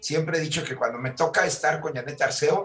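Noticeable background noise sits behind a man's voice. He speaks with a fairly high pitch for a man and fairly even intonation. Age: 60s. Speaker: entertainment commentator. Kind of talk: casual chat.

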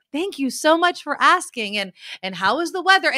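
A woman puts on a robotic character voice, high-pitched with very wide pitch swings, at a moderate pace. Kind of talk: stiff, rehearsed. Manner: scripted, robotic politeness.

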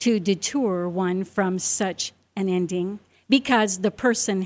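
The reader uses an unforced reading voice, and the pitch varies in an ordinary way.

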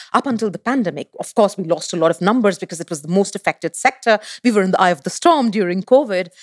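A woman speaks at a medium pitch in an energetic tone with lively intonation. The sound is dry and close, with no echo. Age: 40s. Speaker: sustainable tourism consultancy CEO. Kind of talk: interview.

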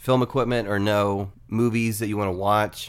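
A man's fairly low voice moves with fairly even intonation. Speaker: podcast host. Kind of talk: casual interview chat.

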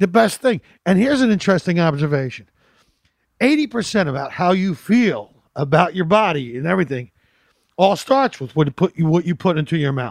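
A high-pitched man at a fairly quick pace, his pitch swinging very widely. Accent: American. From Philadelphia. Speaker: comedian. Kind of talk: casual chat. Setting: at home on couch.

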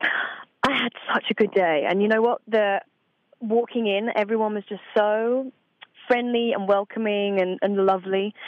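A woman speaks with a British accent. Her pitch is fairly high and her pace fairly slow. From Essex and Suffolk, England. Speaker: voice actress. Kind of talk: interview. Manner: animated.

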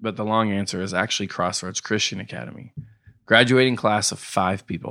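On a very clean recording with a silent background, a man talks at a fairly quick pace with a bright, sharp tone and ordinary pitch variation. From Knoxville, Tennessee. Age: 30s. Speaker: brewery tour business owner. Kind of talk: casual interview. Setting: at his own home.

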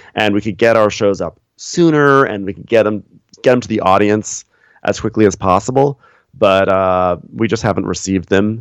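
Over a quiet background, a man with an American accent and a plain, everyday voice talks at a moderate pace, his fairly low pitch varying in an ordinary way. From New York, Westchester. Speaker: podcast host and recapper. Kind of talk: casual interview chat.

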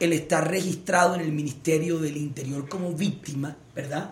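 The man's voice has a fairly high pitch. Audible room echo surrounds it. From Colombia, Barranquilla (Caribbean coast). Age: 30s. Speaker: politician, Senate candidate. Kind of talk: political debate. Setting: livestream interview.

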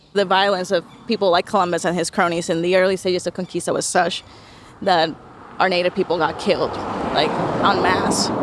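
A woman talks at a fairly quick pace, stopping often for long pauses, in a flat, monotone way. Noticeable background noise is present. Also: medium pitch for a woman. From Puerto Rico (Bayamón). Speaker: history professor. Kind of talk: interview. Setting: outdoors at the statue.

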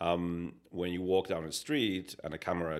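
Against a silent background in a very clean recording, a man speaks at a very deep, low pitch and a moderate pace. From Spain. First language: Spanish. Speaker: digital design executive. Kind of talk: casual interview.

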